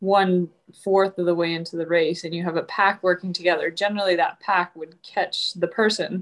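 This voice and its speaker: An unremarkable speaking voice with an American accent. It moves at a moderate pace with fairly even intonation. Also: woman. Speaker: retired Olympic cross-country skier, guest co-host. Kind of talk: casual chat.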